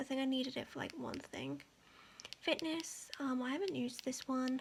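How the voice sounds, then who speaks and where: A soft-spoken woman talks in a high pitch. Her pace is moderate and her intonation fairly even. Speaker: ASMR creator. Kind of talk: casual ASMR show-and-tell.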